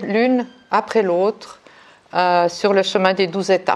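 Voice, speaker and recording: A woman delivers her words very slowly, her intonation staying fairly even. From Switzerland, Neuchâtel. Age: 60s. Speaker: recovery group member. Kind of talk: testimony. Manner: halting.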